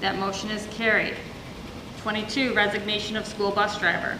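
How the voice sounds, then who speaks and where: Amid noticeable background noise and audible room echo, a woman with a medium pitch speaks at a fairly quick pace in a monotone, flat intonation. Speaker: school board president chairing meeting. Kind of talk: formal meeting proceedings, reading resolutions. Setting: public board meeting. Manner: fast.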